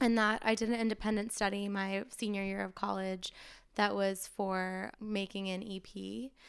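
On a very clean recording with a silent background, a woman talks at a moderate pace. She has a normal speaking voice at a medium pitch, with fairly even intonation. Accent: American. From Maine, New England US. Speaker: singer-songwriter. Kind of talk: casual interview chat. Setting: studio.

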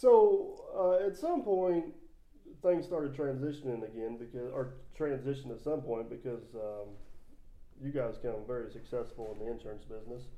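In a plain, everyday voice, a man speaks at a medium pitch and moderate pace with lively intonation. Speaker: podcast host. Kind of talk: casual chat.

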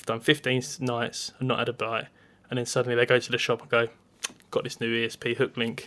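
Fairly quick and monotone, a man talks in a bright, sharp tone with an Essex accent. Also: medium pitch for a man. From Essex, England. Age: 30s. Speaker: podcast host, angler. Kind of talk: casual chat.

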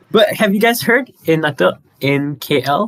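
The man's pitch swings very widely as he speaks. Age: young. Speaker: medical student. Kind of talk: casual chat.

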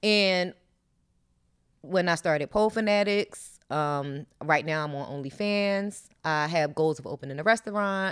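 This woman talks at a fairly slow pace with a fairly low pitch and ordinary pitch variation. The recording is very clean, with a silent background. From Philadelphia, US. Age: 40s. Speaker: former dancer and podcast co-host. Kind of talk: casual interview.

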